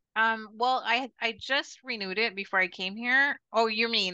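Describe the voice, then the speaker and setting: Against a quiet background, a woman with an American accent speaks fairly slowly at a fairly high pitch, with a bright, sharp tone and fairly even intonation. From Arizona. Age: 50s. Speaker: expat retiree. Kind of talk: interview.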